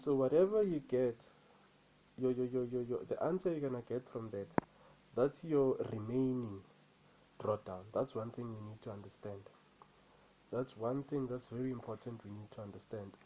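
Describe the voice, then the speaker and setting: A dark, mellow voice with a non-native accent, a moderate pace, ordinary pitch variation, big swings in loudness and long, frequent pauses. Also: man, medium pitch for a man. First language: not English. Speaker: trader. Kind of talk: vlog, personal experience. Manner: repetitive, halting.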